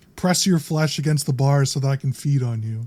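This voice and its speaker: A man's gruff, fairly high put-on character voice at a fairly quick pace. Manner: menacing.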